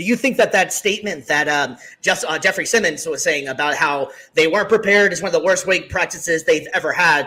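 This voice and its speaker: At a very fast pace, a man talks in a high, raised, projected voice. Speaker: sports podcast host. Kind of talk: casual sports talk show. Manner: stuttering today.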